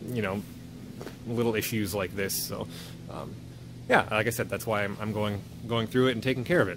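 A man's fairly low voice at a fairly quick pace, fairly even in intonation, dry with no echo, over noticeable background noise. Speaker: owner doing tractor maintenance. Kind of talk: casual vlog chat. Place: workshop. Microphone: phone near.

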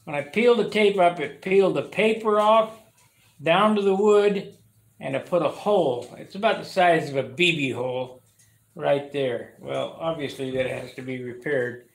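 Big swings in loudness from a man with a high-pitched voice, at a moderate pace, with audible room echo. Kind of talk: tutorial. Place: workshop. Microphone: camera far.

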